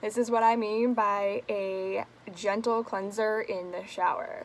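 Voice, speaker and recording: Mumbling, a woman speaks in a fairly high pitch. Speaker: beauty vlogger. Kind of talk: casual talk to camera, product review. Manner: casual, swearing.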